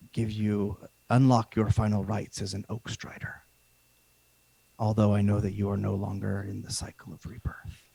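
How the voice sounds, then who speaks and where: Putting on a booming character voice, a man speaks at a moderate pace in a fairly low pitch, leaving long, frequent pauses. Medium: actual play. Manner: solemn, formal.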